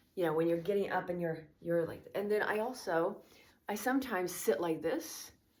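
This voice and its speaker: There is audible room echo around this woman's voice. She speaks at a fairly quick pace. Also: medium pitch for a woman, ordinary pitch variation. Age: 50s. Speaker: fitness vlogger. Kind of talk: casual tutorial. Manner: casual, halting.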